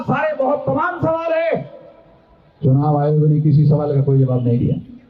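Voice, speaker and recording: A man speaks with very wide pitch swings. Noticeable background noise and audible room echo surround him. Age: 60s. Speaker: political activist. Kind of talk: political speech. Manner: animated.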